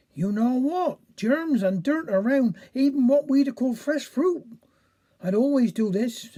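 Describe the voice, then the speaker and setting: This female-sounding voice is a put-on character with a Cornish accent. It is fairly high, with lively intonation and a fairly slow pace. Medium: read story. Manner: earnest, simple.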